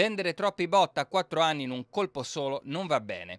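With an unremarkable speaking voice, a man talks at a moderate pace in a fairly high pitch, his intonation lively and the sound dry and close with no echo. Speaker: TV news reporter. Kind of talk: news reading. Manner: formal; brisk, steady, authoritative delivery.

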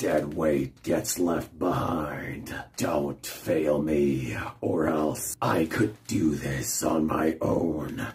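A man puts on a raspy character voice. He talks at a very slow pace. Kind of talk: video game character impression. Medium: solo performance. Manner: menacing, cold, contemptuous.

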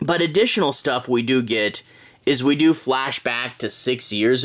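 The man speaks against a quiet background. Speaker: comic book reviewer. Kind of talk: casual review commentary. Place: home room.

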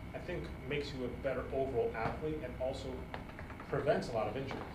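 Noticeable background noise accompanies talk at a fairly quick pace. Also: man. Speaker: podcast co-host. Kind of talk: casual chat. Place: gym.

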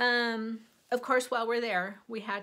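The woman's tone comes across bright and sharp. She keeps a moderate pace. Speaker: cross stitch and quilting vlogger. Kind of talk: casual show-and-tell haul video. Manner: halting with fillers.

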